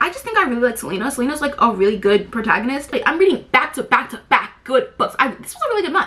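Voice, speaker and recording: Over noticeable background noise, a woman talks at a very fast pace with very wide pitch swings. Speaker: book vlogger. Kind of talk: casual chat.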